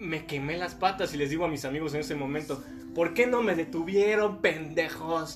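The intonation is lively, with a Mexican accent. Music plays in the background. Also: man. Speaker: dentist. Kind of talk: casual chat.

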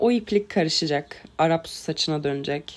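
A woman speaking at a very slow pace with lively intonation. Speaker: podcast host. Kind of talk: solo monologue. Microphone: crackling from the microphone.

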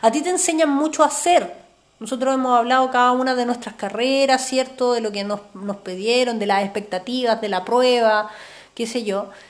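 This woman speaks high in pitch, at a moderate pace, with ordinary pitch variation. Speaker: podcast co-host, therapist. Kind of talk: casual chat.

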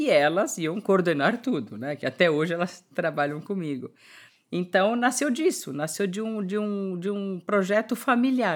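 Over a silent background in a very clean recording, a woman at a medium pitch talks at a fairly slow pace while her pitch swings very widely. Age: 50s. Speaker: entrepreneur and fashion designer. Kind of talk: interview.

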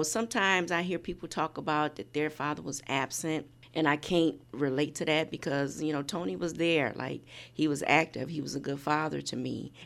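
Vocal fry marks a woman's very deep, low voice as she speaks at a moderate pace. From Indiana. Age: 50s. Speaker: nonprofit founder. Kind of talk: casual chat.

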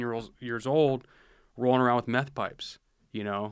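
With an American accent, this is an unremarkable speaking voice that moves at a fairly quick pace with fairly even intonation. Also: man. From rural Washington State, US. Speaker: police officer. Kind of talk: casual interview. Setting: studio.

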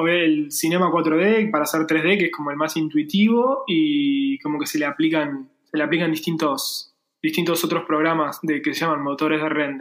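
This man's pitch is fairly high. It varies an ordinary amount. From Argentina. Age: 30s. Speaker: freelance 3D graphic designer. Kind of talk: casual interview chat. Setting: remote call.

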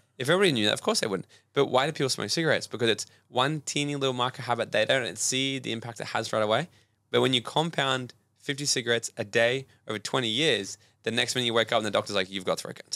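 A very fast man's voice with an Australian accent, medium pitch, ordinary pitch variation, and a bright, sharp tone, on a very clean recording with a silent background. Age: 20s. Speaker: personal development coach. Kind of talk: casual chat.

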